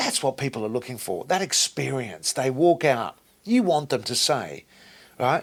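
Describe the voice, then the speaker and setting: Animated in tone, a man speaks at a moderate pace with lively intonation. Vocal fry runs through his voice. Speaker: franchise owner. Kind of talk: interview. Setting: company headquarters office. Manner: loud.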